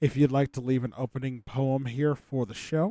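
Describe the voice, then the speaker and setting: A man speaks quietly at a medium pitch with a dark, mellow tone and fairly even intonation. The recording is very clean, with a silent background. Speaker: game show host on livestream. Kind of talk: casual livestream hosting.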